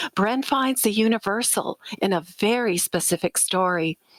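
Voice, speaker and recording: Recorded dry and close with no echo, a woman with an ordinary speaking voice talks at a medium pitch and a fairly slow pace. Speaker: podcast host. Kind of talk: podcast intro.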